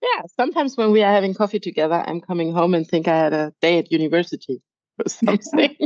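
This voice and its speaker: Talking very fast with lively intonation, a woman with a German accent speaks at a medium pitch. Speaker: podcast host, horse trainer. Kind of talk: casual chat.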